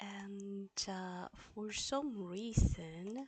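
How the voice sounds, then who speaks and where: A woman speaks at a medium pitch. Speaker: language teacher. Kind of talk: live stream class. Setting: live stream. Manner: halting; soft-spoken. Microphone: low volume, audio problems.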